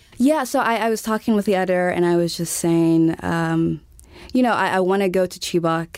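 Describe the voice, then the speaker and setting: A woman with an American accent speaks at a moderate pace in a fairly low voice with ordinary pitch variation and an unremarkable speaking voice, on a very clean recording with a silent background. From US South, Montgomery, Alabama. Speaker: foreign correspondent. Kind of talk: interview.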